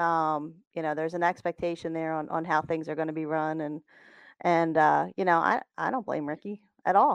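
Against a quiet background, a woman with an ordinary speaking voice talks at a moderate pace and fairly low pitch with ordinary pitch variation, the sound dry and close with no echo. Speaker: co-host. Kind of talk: casual chat.

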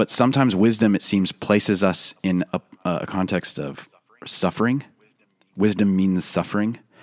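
The sound is dry and close, without echo. Ordinary pitch variation and a moderate pace carry a plain, everyday voice. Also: man, fairly low pitch for a man. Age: 30s. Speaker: pastor and church planter. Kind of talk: casual chat.

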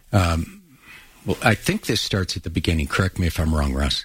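At a moderate pace, a man with a very deep, low pitch and ordinary pitch variation sounds somewhat breathy. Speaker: radio host. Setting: studio.

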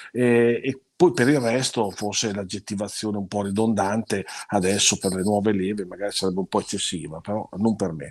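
A man talks at a fairly quick pace in a plain, everyday voice, with a fairly low pitch and ordinary pitch variation. The recording is very clean, with a silent background. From Italy, Parma. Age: 60s. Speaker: food critic and university teacher. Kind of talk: interview.

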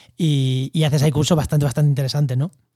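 A man's dark, mellow tone at a very fast pace, in a very clean recording with a silent background. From Spain, La Mancha (Albacete). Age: 30s. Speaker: podcast host, ecologist. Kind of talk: casual interview.

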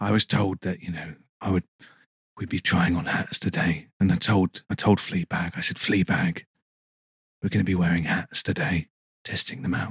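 A man with a very deep, low pitch, somewhat breathy, at a moderate pace with long, frequent pauses and fairly even intonation, in a dry, close sound with no echo. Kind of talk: casual chat. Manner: soft-spoken.

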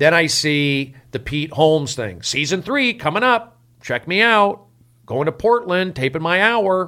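With an American accent, a man speaks fairly slowly in a high, bright, sharp voice that makes very wide pitch swings. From US, Los Angeles (San Fernando Valley). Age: 40s. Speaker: comedian. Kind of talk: casual chat.

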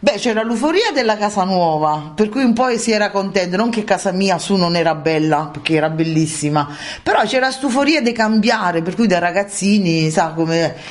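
Over noticeable background noise, a woman with a Roman accent speaks with lively intonation. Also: medium pitch for a woman, moderate pace, very even loudness. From Basilicata, Craco. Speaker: villager's daughter. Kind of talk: casual chat.

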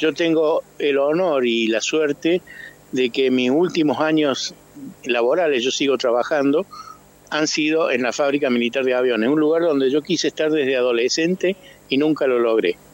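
The speech moves at a moderate pace with very even loudness. Background noise is noticeable. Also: man, fairly high pitch for a man, ordinary pitch variation. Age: 70s. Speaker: architect and car club member. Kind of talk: radio interview.

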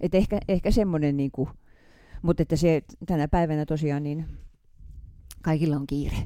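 A woman with a very deep, low pitch and a dark, mellow tone speaks at a moderate pace with fairly even intonation and long, frequent pauses. The recording is very clean, with a silent background. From Finland, Häme (Hämeenlinna). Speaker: veteran fencer. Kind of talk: interview.

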